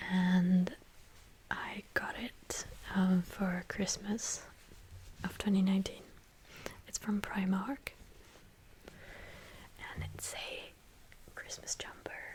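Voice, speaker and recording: A woman whispers at a very slow pace with long, frequent pauses. Her loudness swings widely over noticeable background noise. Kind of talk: ASMR show-and-tell. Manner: soft-spoken.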